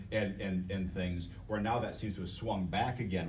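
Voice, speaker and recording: A man speaks with a very deep, low pitch and fairly even intonation, with audible echo from the room. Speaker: biomedical engineering professor. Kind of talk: panel discussion. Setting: workshop panel broadcast on Facebook Live. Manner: loud; halting, repeats words.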